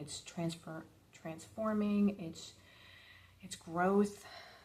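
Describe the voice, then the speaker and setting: Soft-spoken, a woman talks at a very slow pace in a dark, mellow tone. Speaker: tarot reader. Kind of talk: tarot reading.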